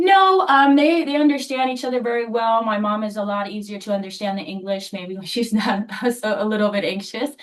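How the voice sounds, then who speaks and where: Noticeable background noise sits behind a woman speaking at a fairly quick pace. Her voice is fairly high, with ordinary pitch variation. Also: hardly any pauses. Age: 20s. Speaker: pharmacy technician and applicant's daughter. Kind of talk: licensing hearing testimony and interpreting.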